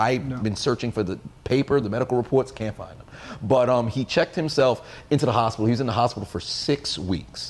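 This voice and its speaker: A man's medium-pitched voice, animated and energetic, very fast with ordinary pitch variation. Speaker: podcast host. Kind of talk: casual chat.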